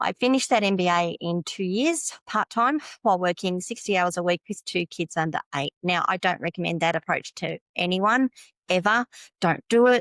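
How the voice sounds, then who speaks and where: A woman's medium-pitched voice with ordinary pitch variation, at a moderate pace, in a dry, close sound with no echo. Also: very clean recording, silent background. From Australia. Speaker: tech consultant. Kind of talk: podcast interview.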